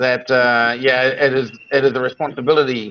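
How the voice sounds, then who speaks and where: A man's medium-pitched voice with a New Zealand accent. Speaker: online show host. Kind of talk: interview. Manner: hesitant.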